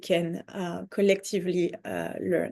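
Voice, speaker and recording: A woman with a French accent at a fairly slow pace, medium in pitch, dark and mellow in tone, over a quiet background. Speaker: conference organizer. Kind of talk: online info session presentation. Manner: halting, many fillers.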